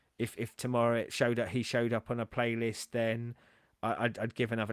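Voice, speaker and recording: A man with a medium-pitched voice talks at a fairly quick pace, the sound dry and close with no echo on a very clean recording with a silent background. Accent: English. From England. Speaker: music reaction video host. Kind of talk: casual chat. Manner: halting, many repetitions and fillers.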